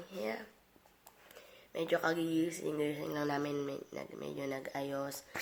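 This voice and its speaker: A woman with a very deep, low pitch speaks at a fairly slow pace, her intonation fairly even, with long, frequent pauses. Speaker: vlogger. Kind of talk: casual vlog talk.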